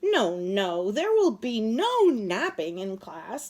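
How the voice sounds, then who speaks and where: Using a put-on character voice, a woman speaks very slowly at a fairly high pitch. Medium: read story.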